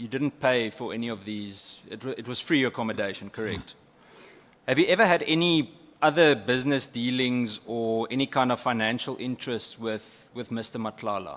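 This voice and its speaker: With a South African accent, a man at a medium pitch speaks at a moderate pace, showing ordinary pitch variation and big swings in loudness. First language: Afrikaans. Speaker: member of parliament questioning a witness. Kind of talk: parliamentary questioning.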